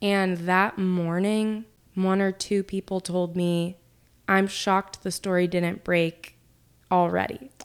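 A woman with an American accent speaks at a very slow pace in a monotone, flat intonation. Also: medium pitch for a woman. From Oklahoma. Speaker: political reporter. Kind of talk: interview. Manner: loud talker.

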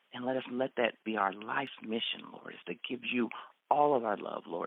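At a moderate pace, a man speaks in a medium pitch with a slight Texas accent. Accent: slight Texas twang. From Texas, raised in Central Florida. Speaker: marriage ministry leader. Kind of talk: personal testimony.

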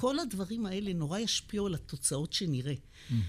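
Lively intonation and vocal fry mark this woman's fairly low voice. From Israel, Beersheba (south). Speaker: physician and epidemiology professor. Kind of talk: interview conversation.

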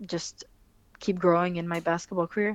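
With a French accent, a woman speaks at a fairly low pitch against a quiet background. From France, Fontainebleau. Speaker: professional basketball player. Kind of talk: interview.

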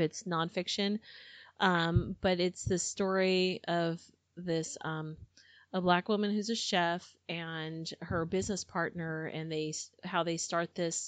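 A woman with an American accent speaks in a normal speaking voice at a fairly low pitch. Her pace is fairly slow and her intonation fairly even. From United States. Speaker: book club host. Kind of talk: casual chat. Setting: studio.

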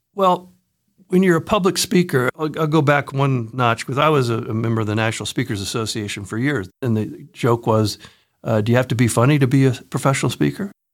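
Recorded very cleanly with a silent background, a man with a Midwestern American accent speaks at a fairly quick pace in a medium pitch with lively intonation. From central Ohio, US. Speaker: sales trainer and author. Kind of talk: casual interview.

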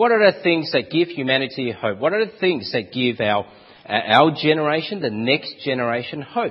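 With an Australian accent, a man speaks at a moderate pace in a fairly high pitch, his pitch swinging very widely. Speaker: preacher.

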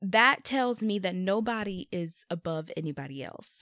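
A woman talks at medium pitch with lively intonation in a normal speaking voice. The recording is very clean with a silent background, dry and close with no echo. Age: 20s. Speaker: podcaster. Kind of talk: faith-based solo podcast monologue with prayer. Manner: reflective, emotional.

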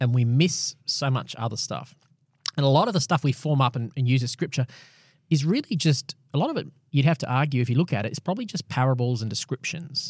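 A man's very fast, somewhat breathy, fairly high voice with an Australian accent. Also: ordinary pitch variation, dry, close sound with no echo. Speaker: pastor and podcast host. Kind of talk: casual Bible discussion. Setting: studio recording, also filmed for video.

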